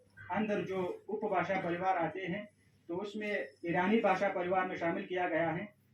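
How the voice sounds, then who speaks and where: The intonation of this man's speech stays fairly even. Noticeable background noise can be heard. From Afghanistan. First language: Pashto (speaking Hindi). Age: young. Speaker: Hindi lecturer and PhD researcher. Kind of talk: formal speech at an event. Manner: formal.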